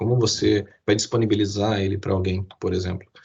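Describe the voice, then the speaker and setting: A man with a fairly low pitch. His voice is somewhat breathy. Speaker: IT security presenter. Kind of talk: webinar presentation. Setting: online live stream. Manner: fast.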